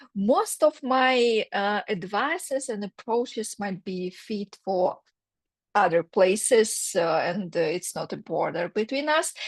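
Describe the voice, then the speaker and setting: A woman speaks very slowly with a Russian accent, at a medium pitch and with lively intonation. The sound is dry and close, with no echo. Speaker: career counselor. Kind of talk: workshop presentation. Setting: video call. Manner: halting, many fillers.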